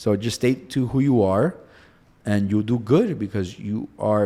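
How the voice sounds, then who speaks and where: A fairly low-pitched man talks with a Spanish accent. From Cuba. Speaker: personal injury attorney. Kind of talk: interview. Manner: animated.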